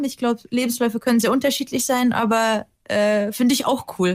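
With a Russian accent, a woman speaks in a high pitch with ordinary pitch variation. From Germany. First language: Russian (speaking German). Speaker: TV presenter. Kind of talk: casual chat. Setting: remote call.

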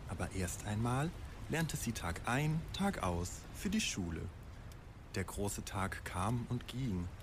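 Very slow, somewhat breathy speech with very wide pitch swings, very even loudness and long, frequent pauses. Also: man, medium pitch for a man. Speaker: storyteller. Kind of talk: bedtime story telling, a fairy tale with dark satirical twist. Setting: studio.

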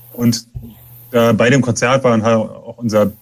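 A man talks at a moderate pace and a medium pitch. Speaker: punk musician. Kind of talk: interview. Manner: soft-spoken. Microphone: too quiet.

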